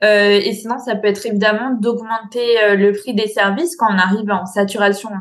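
Over noticeable background noise, a woman of medium pitch talks at a fairly slow pace with fairly even intonation. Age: 20s. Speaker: business coach. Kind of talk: interview.

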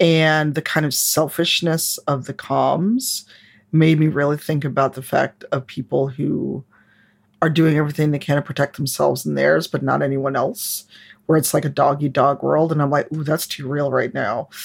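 Her pitch very deep and low, a woman speaks with vocal fry at a moderate pace and with fairly even intonation. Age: 40s. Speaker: game designer and diversity advocate. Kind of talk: casual chat.

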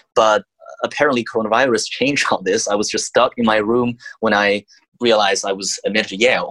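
In a dry, close sound with no echo, a man with a Chinese accent speaks fairly quickly at a medium pitch. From China. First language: Mandarin Chinese. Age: young. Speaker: student. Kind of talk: interview.

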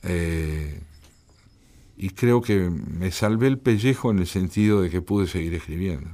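Speaking at a fairly slow pace, a man with a very deep, low pitch has a dark, mellow tone and ordinary pitch variation. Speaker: poet and translator. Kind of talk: radio interview.

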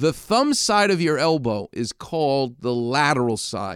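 A man speaks with a New York accent, his tone animated and his intonation lively. The recording is very clean with a silent background, dry and close with no echo. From New York, Far Rockaway (Queens). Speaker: radio host and orthopedic surgeon. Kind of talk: radio talk show monologue. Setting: radio studio.

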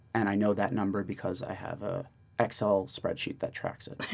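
Over music in the background, a man with a New York accent speaks at a moderate pace, his fairly low pitch showing ordinary variation. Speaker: MBA student, podcast co-host. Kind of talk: casual chat. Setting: studio.

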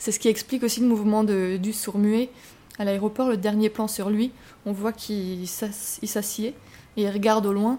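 A woman speaks fairly slowly in a fairly high pitch, her dark, mellow tone held to a monotone, flat intonation. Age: 20s. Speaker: film director. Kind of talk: interview. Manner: hesitant.

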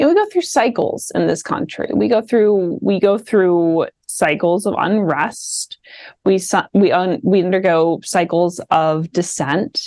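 A woman speaks at a fairly slow pace with a medium pitch and ordinary pitch variation. Her loudness stays very even. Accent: slight Midwestern. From Washington DC. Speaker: PhD student and political commentator. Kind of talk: casual political chat. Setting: video call.

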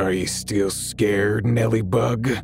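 Over loud background noise, a man puts on a gravelly character voice with a menacing tone. He speaks at a fairly low pitch and a fairly slow pace. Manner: menacing, taunting.

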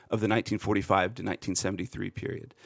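A man speaks with a Pennsylvania accent in a dry, close sound with no echo, on a very clean recording with a silent background. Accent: American, Pennsylvania. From central Pennsylvania. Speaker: podcaster and political commentator. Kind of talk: interview discussion.

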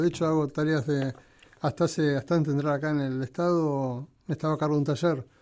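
Very fast in pace, a man speaks with a dark, mellow tone. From Argentina, Buenos Aires area. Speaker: railway museum director. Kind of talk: interview. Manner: halting.

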